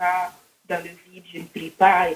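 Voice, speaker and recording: A woman speaks with a Burkinabe accent. Her pace is fairly slow. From Burkina Faso. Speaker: caller converting to Islam. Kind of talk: phone call-in conversation.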